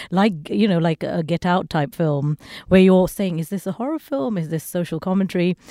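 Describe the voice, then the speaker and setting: In a very clean, silent recording with a dry, close sound and no echo, a woman speaks at a fairly quick pace with a dark, mellow tone, a fairly low pitch and ordinary pitch variation. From Sri Lanka. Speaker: radio host and Indian cinema expert. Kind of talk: panel discussion before a live audience.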